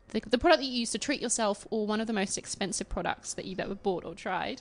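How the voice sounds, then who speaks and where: Very fast speech in an Australian accent. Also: woman, hardly any pauses. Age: 20s. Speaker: podcast host and beauty journalist. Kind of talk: casual interview. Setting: guest's apartment.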